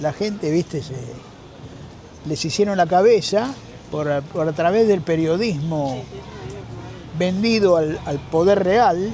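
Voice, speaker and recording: Over noticeable background noise, a man with a Rioplatense accent talks very slowly in a high voice with lively intonation. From Argentina. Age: 70s. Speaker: street musician, former theater actor. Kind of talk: interview answer.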